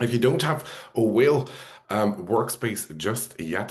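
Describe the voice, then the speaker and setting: Speaking at a fairly slow pace with a non-native accent, a man uses lively intonation. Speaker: software trainer. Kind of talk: webinar presentation. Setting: video call webinar.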